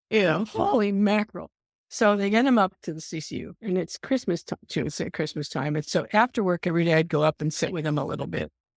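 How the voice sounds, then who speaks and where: Lively intonation and vocal fry run through very fast speech on a very clean recording with a silent background. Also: woman, fairly low pitch for a woman, dry, close sound with no echo. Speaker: emergency nurse. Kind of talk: casual chat. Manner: animated.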